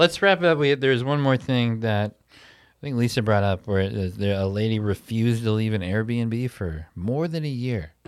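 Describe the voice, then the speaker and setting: On a very clean recording with a silent background, a man with a medium-pitched voice, an unremarkable speaking voice, talks at a moderate pace with lively intonation and big swings in loudness. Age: 30s. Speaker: comedy show host and podcast host. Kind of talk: casual chat. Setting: theater after a live show.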